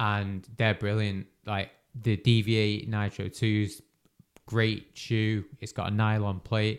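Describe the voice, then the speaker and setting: A man in a British accent, monotone and flat, at a very slow pace on a very clean recording with a silent background. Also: fairly low pitch for a man. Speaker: podcast host and runner. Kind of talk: casual chat. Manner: casual, conversational.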